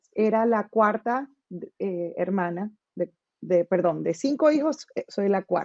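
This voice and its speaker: At a very slow pace, a woman talks with lively intonation at a medium pitch. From Colombia, Barranquilla. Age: 40s. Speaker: interview guest, musician. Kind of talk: personal testimony.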